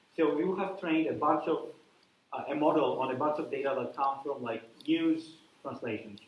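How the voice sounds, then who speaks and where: Amid audible room echo, a man with a fairly high pitch speaks at a moderate pace. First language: not English. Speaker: university lecturer, researcher. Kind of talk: lecture. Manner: hesitant, many fillers.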